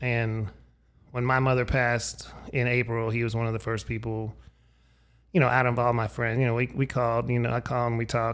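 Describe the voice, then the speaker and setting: With an American accent, a man speaks at a fairly quick pace. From Erie, Pennsylvania. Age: 50s. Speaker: podcast host. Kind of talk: casual chat.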